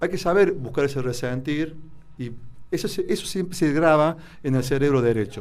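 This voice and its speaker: An ordinary speaking voice: a man with fairly high pitch, lively intonation and a moderate pace. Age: 60s. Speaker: doctor, therapist. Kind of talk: radio interview.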